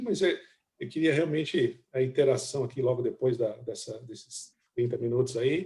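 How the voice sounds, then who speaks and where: The voice has a dark, mellow tone and is somewhat breathy. Its intonation is lively and its pace moderate. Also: man. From interior of São Paulo state (Itu), Brazil. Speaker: chief economist. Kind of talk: business presentation. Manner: hesitant, with many filler words.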